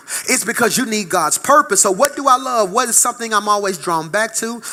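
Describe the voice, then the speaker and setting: This man sounds animated, with a raised, projected voice and a bright, sharp tone. He moves at a fairly quick pace with lively intonation. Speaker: pastor. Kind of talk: sermon. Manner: fast.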